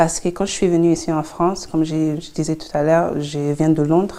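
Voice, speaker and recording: A woman speaks at a moderate pace in a fairly low, dark and mellow voice with flat, monotone intonation. The recording is very clean, with a silent background. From London, England (Congolese family). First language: English (speaking French). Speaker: psychologist and entrepreneur. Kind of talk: interview. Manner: halting, many hesitations.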